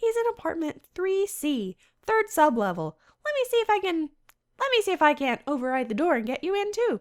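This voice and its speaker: A squeaky, extremely high put-on character voice races along fairly quickly with very wide pitch swings. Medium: game stream.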